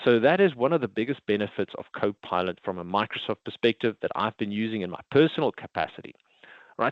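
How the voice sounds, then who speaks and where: A man with a South African accent speaks with very wide pitch swings. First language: Afrikaans. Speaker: IT consultant presenting a product. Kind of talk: webinar presentation.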